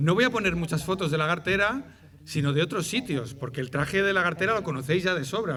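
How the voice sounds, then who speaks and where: A man speaks with a Madrid accent at a high pitch. Audible room echo surrounds his voice. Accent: Madrid neighbourhood. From Madrid, Spain. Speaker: ethnographer of traditional dress. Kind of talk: public lecture. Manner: hesitant, repeats words.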